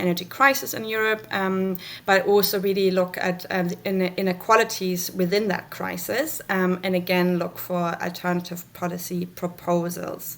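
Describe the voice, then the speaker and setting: Fairly even in intonation, a woman speaks with a German accent. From Germany. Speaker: researcher. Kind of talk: conference presentation. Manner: halting, many fillers.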